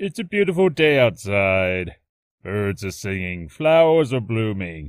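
Using a put-on character voice pitched fairly low, a man speaks at a fairly slow pace in a very clean recording with a silent background. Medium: voice reel. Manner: relaxed, casual.

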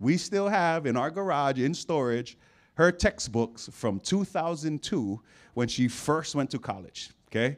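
A man speaks with an animated tone. His pitch swings very widely. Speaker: football coach and preacher. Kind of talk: sermon. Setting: church stage with audience. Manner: call-and-response, coach-like. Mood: humorous, storytelling. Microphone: handheld.

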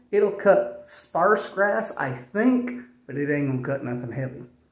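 A man speaks with audible room echo. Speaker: hobbyist tractor builder. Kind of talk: casual vlog chat. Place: garage. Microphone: phone near.

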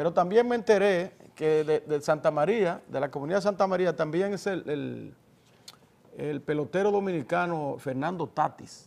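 His voice is high in pitch, with a dark, mellow tone. The man keeps a moderate pace and ordinary pitch variation. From Dominican Republic. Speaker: TV news talk show host. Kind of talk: political interview; news commentary. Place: studio. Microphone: lapel.

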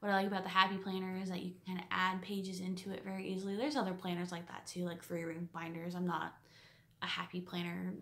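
The words pour out at a very fast pace in a monotone, flat intonation. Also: woman. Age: 20s. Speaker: quilting vlogger; quilting hobbyist vlogger. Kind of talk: casual vlog monologue; casual vlog chat. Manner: hesitant, many fillers. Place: home room. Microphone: phone near.

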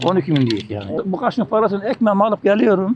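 Noticeable background noise sits behind a man whose high-pitched voice moves with lively intonation. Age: 70s. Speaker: retired spoon maker and market seller. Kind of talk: street interview. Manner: halting.

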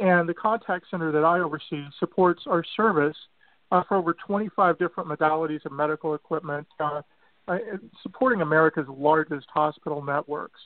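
A man's unremarkable speaking voice, fairly high in pitch, fairly quick, with fairly even intonation. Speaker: contact center operations manager. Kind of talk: interview.

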